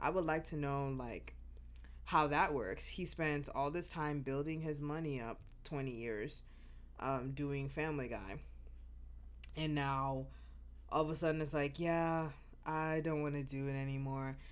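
At a fairly slow pace, the speech has fairly even intonation, long, frequent pauses and audible room echo. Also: woman, very deep, low pitch for a woman. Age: 30s. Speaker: podcast host and flight attendant. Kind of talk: casual solo monologue. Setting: at home.

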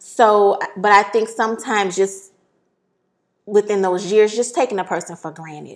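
A woman speaks at a moderate pace in an unremarkable speaking voice, with medium pitch and ordinary pitch variation. Her loudness swings widely, and the recording is very clean with a silent background. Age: 40s. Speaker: podcast host. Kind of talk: casual chat.

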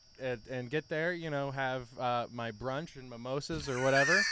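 The intonation is fairly even. Noticeable background noise runs underneath. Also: man. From Cleveland, Ohio. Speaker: sports podcast co-host. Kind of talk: casual chat.

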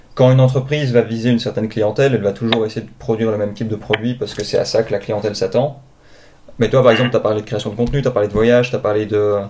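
Very fast speech comes from a man of medium pitch with fairly even intonation. His tone is dark and mellow. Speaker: podcast host. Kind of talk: interview. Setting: video call.

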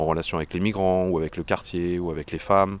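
A man with a very deep, low pitch talks over noticeable background noise. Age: 40s. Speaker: tech support worker, eco activist. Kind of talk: interview. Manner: halting, many hesitations.

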